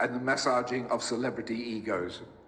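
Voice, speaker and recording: Speaking at a fairly quick pace with a New Zealand accent, a man is heard amid audible room echo and noticeable background noise. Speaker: eulogist, orchestral musician. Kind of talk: eulogy. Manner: formal.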